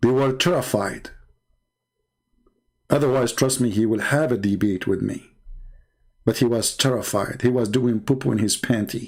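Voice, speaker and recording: At a moderate pace broken by long, frequent pauses, a man with an Arabic accent speaks in a medium pitch at very even loudness. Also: ordinary pitch variation. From Middle East. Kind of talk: live debate talk.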